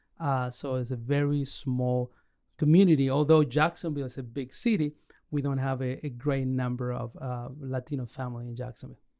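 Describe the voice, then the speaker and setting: A man speaks at a fairly quick pace with an Argentine accent. His medium-pitched voice has a dark, mellow tone and fairly even intonation. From Argentina. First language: Spanish. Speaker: pastor and church planter. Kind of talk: podcast interview. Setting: recorded live in Orlando.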